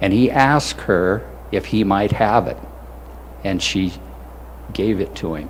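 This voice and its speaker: A man speaks at a fairly low pitch and a fairly slow pace, leaving long, frequent pauses. His pitch swings very widely over noticeable background noise. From South Dakota. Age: 70s. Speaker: war veteran. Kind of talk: ceremony speech. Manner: halting.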